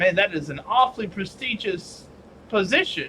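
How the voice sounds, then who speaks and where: Over clear background noise, a man does a put-on character voice, drawling at a moderate pace with high pitch and lively intonation. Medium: actual play. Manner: drawling, genteel.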